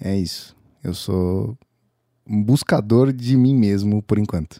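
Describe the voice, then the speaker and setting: A man's dark, mellow voice with ordinary pitch variation, very cleanly recorded against a silent background, the sound dry and close with no echo. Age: 20s. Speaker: creative working with audio. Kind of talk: casual interview chat.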